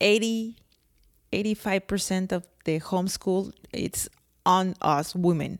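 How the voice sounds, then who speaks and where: Spoken with a strong non-native accent, the words come at a very slow pace with long, frequent pauses and fairly even intonation, in a very clean, dry, close recording with a silent background and no echo. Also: woman, medium pitch for a woman. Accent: thick foreign accent in English. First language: not English. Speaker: podcast co-host. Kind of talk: casual chat.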